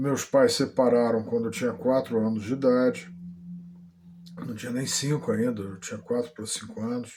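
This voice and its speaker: A dark, mellow tone with fairly even intonation at a moderate pace. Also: man, medium pitch for a man. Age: 60s. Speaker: vlogger. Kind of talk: personal testimony. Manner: halting, many fillers.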